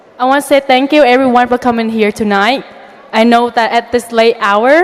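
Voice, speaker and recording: Through noticeable background noise, a woman speaks at a moderate pace in a fairly high pitch with ordinary pitch variation. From outside the US. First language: not English. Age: young. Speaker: valedictorian student. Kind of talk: graduation speech.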